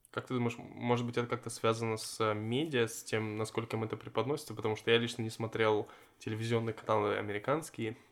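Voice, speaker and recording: Noticeable background noise sits under a man's medium-pitched voice. He talks very fast in a flat monotone. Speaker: podcast host. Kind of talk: casual interview chat. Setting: in person, same room.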